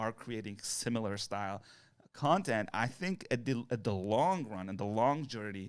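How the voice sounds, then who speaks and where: A man with a non-native accent, medium pitch and moderate pace, on a very clean recording with a silent background. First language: not English. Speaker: content creator. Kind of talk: casual chat.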